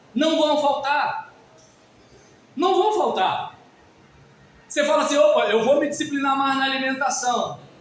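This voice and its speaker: A man speaks at an extremely high pitch with ordinary pitch variation and very even loudness, at a fairly slow pace with long, frequent pauses. Audible room echo surrounds the voice. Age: 50s. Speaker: pastor. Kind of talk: sermon. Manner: conversational, informal.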